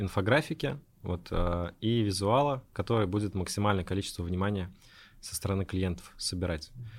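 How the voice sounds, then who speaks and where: In a very clean recording with a silent background, a man has an ordinary speaking voice. His pitch is fairly low, his pace moderate, and his pitch variation ordinary. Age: 20s. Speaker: entrepreneur. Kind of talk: casual interview.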